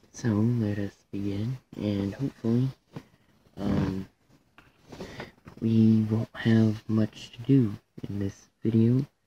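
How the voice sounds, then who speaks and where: Very slow and broken by long, frequent pauses, a man's fairly low, somewhat breathy voice holds a monotone, flat intonation and a dark, mellow tone, with dry, close sound and no echo. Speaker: gaming YouTuber. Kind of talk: gameplay commentary. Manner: hesitant, many fillers.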